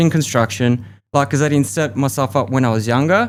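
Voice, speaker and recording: This is a man talking. He speaks with an Australian accent. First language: Russian. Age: 30s. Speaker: podcast guest, expat. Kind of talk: interview conversation.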